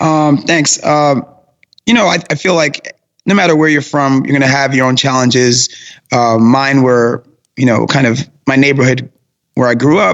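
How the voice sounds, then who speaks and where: A man's medium-pitched voice in a New York accent, at a fairly quick pace with ordinary pitch variation. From Brooklyn, New York. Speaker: personal trainer and fitness business owner. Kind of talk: interview.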